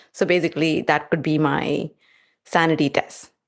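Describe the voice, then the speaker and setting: Speaking fairly slowly, the woman has a non-native accent. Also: quiet background. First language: not English. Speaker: test automation engineer. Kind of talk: podcast interview. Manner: halting.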